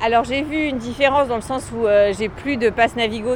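Against noticeable background noise, a woman talks at a fairly quick pace with a fairly high pitch and ordinary pitch variation. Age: 40s. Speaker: cyclist commuter. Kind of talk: street interview. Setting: outdoors.

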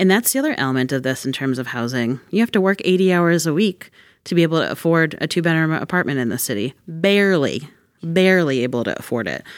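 On a very clean recording with a silent background, a woman with a very deep, low pitch talks at a very fast pace with lively intonation. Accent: American. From Worcester, Massachusetts. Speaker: executive director of a community action agency. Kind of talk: interview on a radio podcast.

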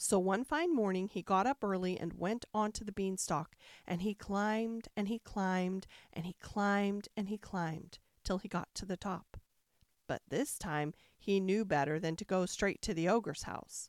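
A woman speaks in an animated, dramatic tone at a moderate pace, her pitch varying in an ordinary way, in a dry, close sound with no echo. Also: medium pitch for a woman. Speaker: bedtime story narrator. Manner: animated, dramatic, soothing.

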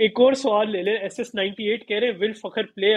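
A high male voice, its pitch varying in an ordinary manner. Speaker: cricket podcast co-host. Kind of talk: casual chat. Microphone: internet connection drops, audio freezing.

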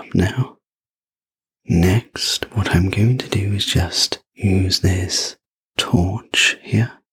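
Calm and soothing in tone, a somewhat breathy man speaks at a very slow pace and fairly low pitch with fairly even intonation, in a dry, close sound with no echo. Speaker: sleep story narrator. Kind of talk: ASMR sleep story roleplay. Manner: soft, slow, gentle whisper-like delivery; calm, soothing, personal-attention tone.

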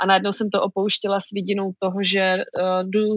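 A woman's medium-pitched voice at a moderate pace, with monotone, flat intonation. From Czech Republic, small town near the German border. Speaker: author and online creator. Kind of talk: interview.

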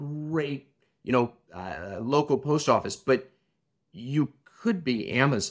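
The speaker has a Midwestern American accent. The recording is very clean, with a silent background. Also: man. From US Midwest, Illinois. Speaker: tech company founder, former restaurant operator. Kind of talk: interview conversation.

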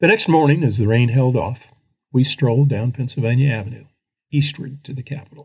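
Speaking at a fairly quick pace with an American accent, a man has a medium pitch, ordinary pitch variation, a somewhat breathy sound and big swings in loudness. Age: 70s. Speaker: former congressman and writer. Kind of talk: reading aloud a personal essay.

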